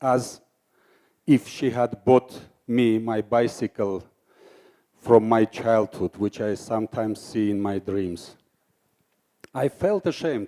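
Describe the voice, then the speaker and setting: At a very slow pace with long, frequent pauses, a man speaks at medium pitch with ordinary variation and a dark, mellow tone, the sound dry and close with no echo. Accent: Armenian. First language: Armenian. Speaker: filmmaker and speaker. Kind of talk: conference talk.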